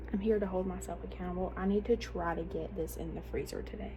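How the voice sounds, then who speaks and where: A woman's flat, monotone voice at a fairly quick pace, with audible room echo and noticeable background noise. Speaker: lifestyle vlogger. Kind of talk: casual vlog narration. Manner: soft-spoken.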